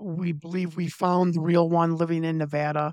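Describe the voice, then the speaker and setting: A man speaks in a Chicago accent with a high pitch and monotone, flat intonation. The recording is very clean with a silent background and a dry, close sound with no echo. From Chicago, US Midwest. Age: 50s. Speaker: former pro wrestler and political candidate. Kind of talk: interview.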